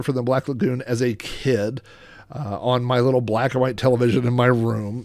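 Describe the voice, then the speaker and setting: Talking at a moderate pace, a man has an unremarkable speaking voice pitched in the medium range. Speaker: YouTuber collector. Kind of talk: unscripted solo monologue. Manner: casual with many fillers.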